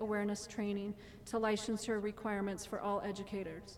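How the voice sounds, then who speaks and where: There is noticeable background noise in this clip. A woman speaks at a fairly quick pace. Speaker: parent speaking at public comment. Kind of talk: public testimony. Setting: board meeting with audience.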